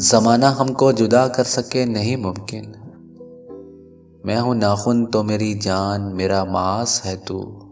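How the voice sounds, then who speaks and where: Music plays in the background as a man speaks at a fairly low pitch with fairly even intonation. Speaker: radio jockey, poetry narrator. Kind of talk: poetry reading.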